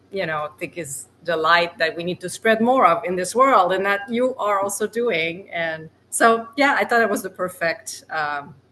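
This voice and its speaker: Speaking with a non-native accent at a medium pitch, a woman talks at a fairly slow pace with hardly any pauses and lively intonation, amid noticeable background noise. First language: not English. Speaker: podcast co-host. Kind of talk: casual podcast conversation.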